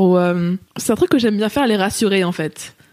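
A woman's fairly quick delivery is heard against noticeable background noise. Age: 20s. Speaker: amateur kickboxer. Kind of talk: casual interview.

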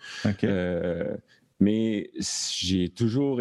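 In a Quebec accent, a man with a fairly low pitch and a dark, mellow tone speaks with ordinary pitch variation, in a dry, close sound with no echo. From Quebec, Thetford Mines. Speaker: sound designer and stage manager. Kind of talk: casual chat. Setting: video call.

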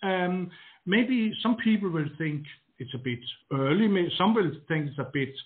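A man speaks at a high pitch with a Danish accent. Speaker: garden designer. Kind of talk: interview. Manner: halting, repeats words.

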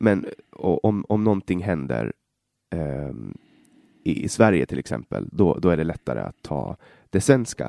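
A man's very deep, low, dark, mellow voice with vocal fry and very wide pitch swings, at a moderate pace, in a dry, close recording with no echo. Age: 20s. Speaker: podcast host. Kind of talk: interview. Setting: guest's office at city hall. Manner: halting.

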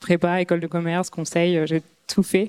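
Her voice is fairly low for a woman, with a dark, mellow tone and monotone, flat intonation. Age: 30s. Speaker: startup co-founder. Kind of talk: talk to an audience.

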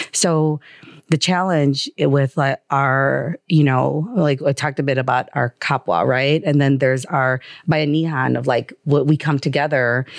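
Against a quiet background, a woman with a Chicago accent speaks fairly slowly in a very deep, low voice with ordinary pitch variation. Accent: Chicago American English. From US Midwest, Chicago. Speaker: angel investor. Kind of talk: interview. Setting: studio.

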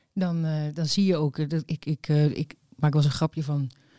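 On a very clean recording with a silent background, a woman speaks at a fairly quick pace in a very deep, low pitch with monotone, flat intonation. Her tone is dark and mellow, and the sound is dry and close with no echo. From Netherlands, Overijssel and Amsterdam. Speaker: DJ. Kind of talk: casual chat. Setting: villa at park edge.

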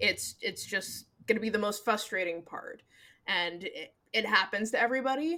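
Speaking at a fairly slow pace, a woman with an American accent has a bright, sharp tone. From Seattle, Washington. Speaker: podcast co-host and editor. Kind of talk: casual chat. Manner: filler-heavy, lots of 'like' and laughing.

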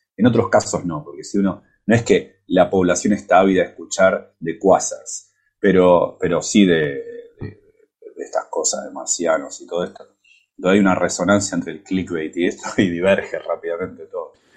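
A man with an Argentine accent speaks at a moderate pace, his loudness swinging widely. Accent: Argentine Spanish (Rioplatense). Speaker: physics professor. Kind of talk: casual chat. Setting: improvised remote connection while on vacation.

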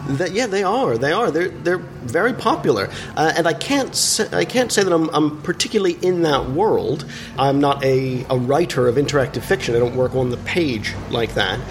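Despite noticeable background noise, a man's fairly high voice carries lively intonation at very even loudness. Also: moderate pace. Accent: American. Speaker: theatre maker. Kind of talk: interview. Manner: halting.

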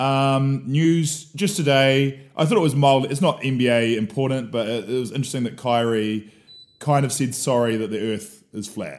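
This man speaks at medium pitch. He has a New Zealand accent. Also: ordinary pitch variation, moderate pace. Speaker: sports podcast co-host. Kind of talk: casual chat. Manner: energetic.

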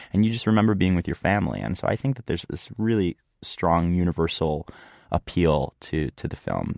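In an American accent, a man with a very deep, low pitch talks fairly quickly and with lively intonation, the sound dry and close with no echo on a very clean recording with a silent background. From US Northeast, Philadelphia suburbs. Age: 20s. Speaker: songwriter. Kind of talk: interview. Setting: studio.

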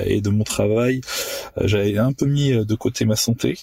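Recorded dry and close with no echo, a man speaks at a fairly slow pace in a fairly low, dark, mellow voice. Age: 30s. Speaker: property dealer, former osteopath. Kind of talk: recorded personal testimony.

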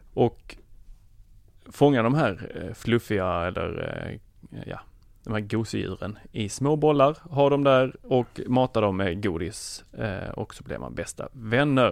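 A man at a medium pitch with lively intonation, speaking at a very slow pace, on a very clean recording with a silent background. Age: 30s. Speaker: tech podcast guest. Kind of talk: casual chat.

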